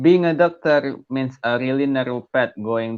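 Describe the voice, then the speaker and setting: The man talks with a non-native accent. Normal rises and falls mark his pitch. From Asia. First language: not English. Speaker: young doctor, caller. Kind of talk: call-in question.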